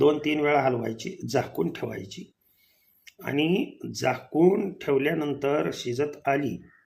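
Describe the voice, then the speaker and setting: A man's fairly high voice with vocal fry and lively intonation. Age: 60s. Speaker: kirtan singer and preacher. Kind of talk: home remedy tutorial.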